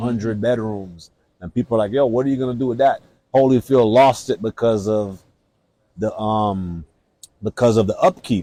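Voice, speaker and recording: A man with a medium pitch and dark, mellow tone, ordinary pitch variation, moderate pace with long, frequent pauses, in a dry, close sound with no echo. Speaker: podcast host. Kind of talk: casual interview talk.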